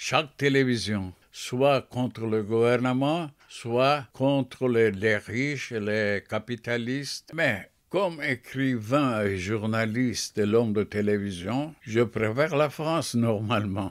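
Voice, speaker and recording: On a very clean recording with a silent background, a man at medium pitch speaks very slowly with hardly any pauses. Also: ordinary pitch variation. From Turkey, Mersin. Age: 80s+. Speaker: poet and writer. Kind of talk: interview. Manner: halting.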